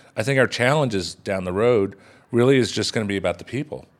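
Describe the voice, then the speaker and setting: A man's unremarkable speaking voice, medium in pitch with ordinary variation. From Texas. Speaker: chef. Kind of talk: interview.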